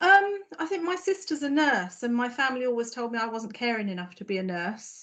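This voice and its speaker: A woman speaks in a southern English accent with a high pitch and very wide pitch swings. She goes at a fairly quick pace with hardly any pauses. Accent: non-Norfolk southern English. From southern England, Surrey. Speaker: health service director. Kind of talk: podcast interview. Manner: hesitant, frequent fillers and repetitions.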